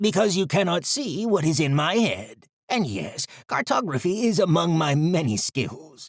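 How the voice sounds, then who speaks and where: Putting on a character voice, a man speaks with a high pitch. His pitch swings very widely at a moderate pace. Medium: read story. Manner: formal, measured.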